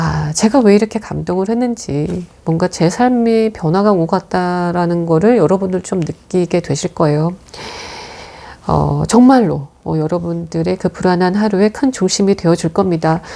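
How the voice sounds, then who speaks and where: A woman with a fairly low pitch talks in a calm, soothing way, her dark, mellow tone moving with ordinary pitch variation. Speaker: movie review host. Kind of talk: reading aloud a written film review. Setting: room at home. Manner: calm, soothing, sleep-inducing; unhurried, not playful.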